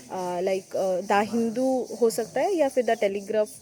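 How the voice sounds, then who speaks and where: In a Bengali accent, a woman speaks with a dark, mellow tone at a fairly high pitch and ordinary pitch variation. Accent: Bengali-accented Hindi. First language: Bengali (speaking Hindi). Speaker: exam-prep vlogger, bank job aspirant. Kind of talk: casual tutorial vlog. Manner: halting, with many fillers.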